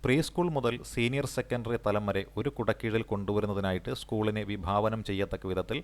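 A man speaks with vocal fry at a fairly low pitch, his loudness very even and his pitch variation ordinary. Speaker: exam coaching teacher. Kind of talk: lecture. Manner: repetitive, dictation-like pacing.

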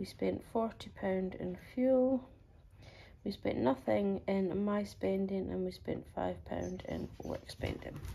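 A woman speaks in a Highland Scottish accent. Her pace is very slow. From Scottish Highlands. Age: 40s. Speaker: budgeting vlogger. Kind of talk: casual vlog talk. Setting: at home on sofa, partner beside her. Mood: relaxed, upbeat. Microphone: phone near.

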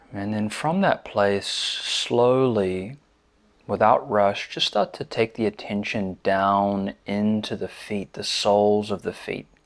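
Against a quiet background, a soft-spoken man with a fairly low pitch and a calm, gentle tone speaks at a very slow pace with fairly even intonation. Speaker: meditation teacher. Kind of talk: guided body scan meditation, slow step-by-step cues through the body. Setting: seated in a chair, recorded video. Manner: calm, gentle, soothing cadence with soft repeated invitations like 'just'; hesitant filler-laden intro with frequent 'um'. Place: home room.

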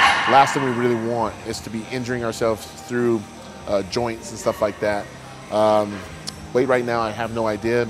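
A man talks fairly quickly. Behind him, clear music plays. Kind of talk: casual vlog chat. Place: gym. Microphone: lapel.

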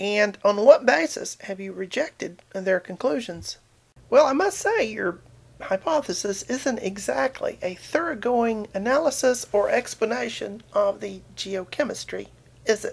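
A woman in a southern Appalachian accent, at a fairly slow pace, with big swings in loudness. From southern Appalachia, US. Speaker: video blogger. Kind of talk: casual talk to camera, science commentary. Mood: wry, sarcastic. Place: home room. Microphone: webcam.

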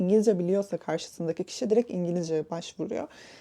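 Ordinary pitch variation in the dark, mellow tone of a woman. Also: dry, close sound with no echo. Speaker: content creator. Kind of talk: advice monologue.

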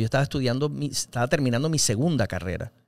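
The background stays quiet while a man speaks. He moves along at a fairly quick pace, and the sound is dry with no echo. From Venezuela, Caracas. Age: 40s. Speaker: actor and radio host; actor, radio host. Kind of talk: casual interview. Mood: relaxed, humorous. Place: studio. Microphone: studio mic.

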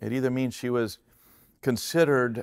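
The speaker is a man at a moderate pace. The background is quiet. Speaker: pastor, preacher. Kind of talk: sermon, Bible teaching to a congregation. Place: stage. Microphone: headset.

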